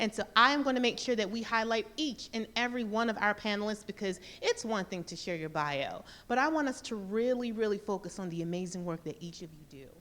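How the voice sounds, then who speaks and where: With an American accent, a woman speaks at medium pitch and a fairly quick pace, her intonation lively and her loudness swinging widely. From US South, Mississippi. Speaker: panel moderator. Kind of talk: event moderation, introducing panelists. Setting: stage with live audience. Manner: animated.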